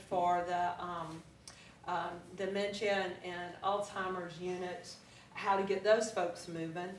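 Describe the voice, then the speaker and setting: With monotone, flat intonation, a woman speaks at a fairly slow pace amid audible room echo and light background noise. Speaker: fitness instructor giving a talk. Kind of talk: presentation to a live audience. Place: meeting room. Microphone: camera far.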